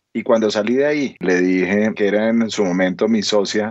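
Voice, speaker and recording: Ordinary pitch variation in a man's fairly low-pitched speech. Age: 50s. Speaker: entrepreneur. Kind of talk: interview.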